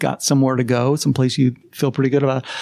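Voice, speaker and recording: A man with an American accent talks at a very fast pace in a medium pitch. The sound is dry and close, with no echo. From New Jersey. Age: 60s. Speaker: psychology professor. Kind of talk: interview. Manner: casual, conversational.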